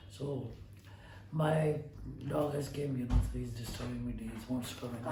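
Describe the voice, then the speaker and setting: A man speaks with ordinary pitch variation and long, frequent pauses. Audible room echo and noticeable background noise are present. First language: Hindi. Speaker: astrologer. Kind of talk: lecture. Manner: halting.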